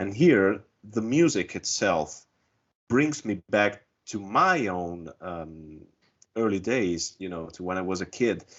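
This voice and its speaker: Speaking at a very slow pace with an Italian accent, the voice uses lively intonation and big swings in loudness. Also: man, fairly low pitch for a man. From Italy. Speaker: music fan panelist. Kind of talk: casual roundtable discussion.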